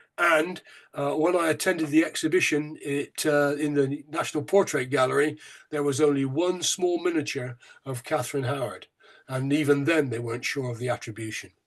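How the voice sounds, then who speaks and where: A man with a Bristolian accent speaks at a fairly quick pace. His pitch is fairly high and his intonation fairly even. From England, Bristol. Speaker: local museum chair, history speaker. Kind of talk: lecture. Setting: online talk. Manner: hesitant, with fillers.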